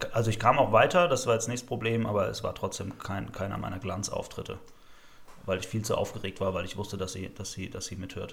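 Talking at a very fast pace, this man sounds somewhat breathy and varies his pitch in an ordinary way. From Rhineland-Palatinate, Germany. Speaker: slam poet. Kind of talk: casual chat.

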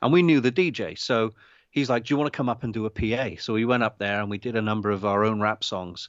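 A man's medium-pitched voice rushes along at a very fast pace, with ordinary pitch variation. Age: 50s. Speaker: indie filmmaker. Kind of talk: casual chat. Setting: video call. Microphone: unstable internet connection.

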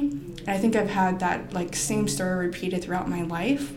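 In a room with audible echo and noticeable background noise, a woman with an American accent talks at a moderate pace and medium pitch. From Arizona, US (Phoenix/Tempe). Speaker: painter. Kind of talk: casual chat.

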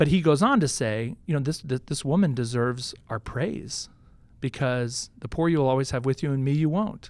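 An American-accented man talks at a moderate pace with a fairly high pitch and ordinary pitch variation. He has an ordinary speaking voice. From Houston, Texas. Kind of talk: casual chat. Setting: studio.

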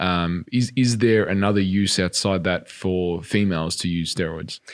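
The very clean recording with a silent background captures a man's very deep, low voice with fairly even intonation. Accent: Australian. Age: 30s. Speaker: podcast host, fitness trainer. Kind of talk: interview.

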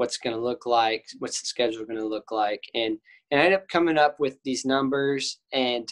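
Recorded with a dry, close sound with no echo, a man with an American accent speaks at a moderate pace with ordinary pitch variation, an ordinary speaking voice. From Texas, Cedar Park. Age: 20s. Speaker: college golfer. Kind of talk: casual interview.

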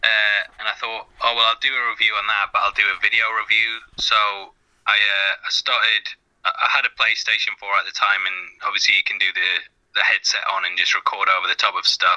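A man talks at a fairly quick pace with an English accent. The sound is dry and close, without echo. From England. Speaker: YouTuber. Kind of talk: casual interview chat.

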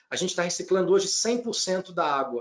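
This man's voice is high-pitched, with ordinary pitch variation. His pace is moderate. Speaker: business executive. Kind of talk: interview.

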